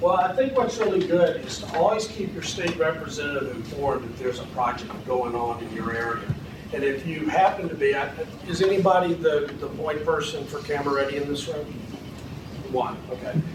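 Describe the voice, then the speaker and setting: Speaking at a fairly quick pace, a man has a fairly high voice. Audible room echo and noticeable background noise accompany him. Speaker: film industry advocate, seminar speaker. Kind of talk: seminar presentation with Q&A. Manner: halting, many repetitions and fillers.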